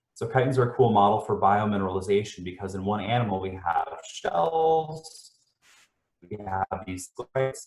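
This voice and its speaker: Somewhat breathy and fairly low in pitch, a man talks at a fairly quick pace with ordinary pitch variation. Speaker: scientist presenting research. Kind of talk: lecture. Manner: fast. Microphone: dodgy sound, internet problems.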